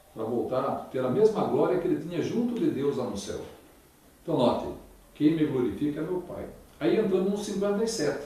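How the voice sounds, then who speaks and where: A man with a high pitch and very wide pitch swings talks at a fairly quick pace broken by long, frequent pauses, amid noticeable background noise and audible room echo. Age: 60s. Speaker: Bible lecturer. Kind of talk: religious lecture.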